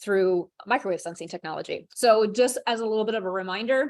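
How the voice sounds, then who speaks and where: A woman speaks at a medium pitch. Her pitch varies an ordinary amount. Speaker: product trainer. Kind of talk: product training webinar. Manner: fast.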